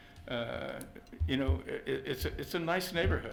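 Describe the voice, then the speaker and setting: A man with a fairly high pitch at a moderate pace, with audible room echo. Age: 70s. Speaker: resident speaking at public meeting. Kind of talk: public comment at council meeting. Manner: halting, stammering.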